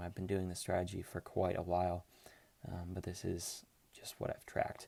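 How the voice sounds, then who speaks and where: A man with a very deep, low pitch and a dark, mellow tone, in a monotone, flat intonation at a fairly quick pace, over a silent background in a very clean recording. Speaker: finance YouTuber. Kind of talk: tutorial. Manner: fast; casual, many filler words.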